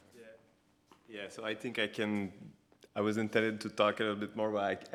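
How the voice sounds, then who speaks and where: Very clean and free of background sound, the recording captures a man with a Quebec French accent speaking in a fairly low pitch. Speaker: architect. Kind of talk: lecture.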